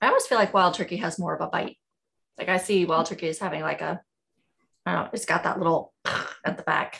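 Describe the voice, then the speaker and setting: Speaking very fast yet with long, frequent pauses, a woman talks in a Southern US accent. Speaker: podcast host. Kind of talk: casual chat.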